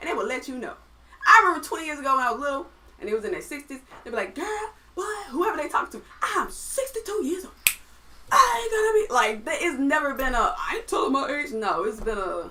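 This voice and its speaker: A raised, projected voice races at a very fast pace, with very wide pitch swings and big swings in loudness. Long, frequent pauses break it up amid noticeable background noise. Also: woman, high pitch for a woman. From US South, Atlanta, Georgia. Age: 20s. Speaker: musician and producer. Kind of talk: casual chat.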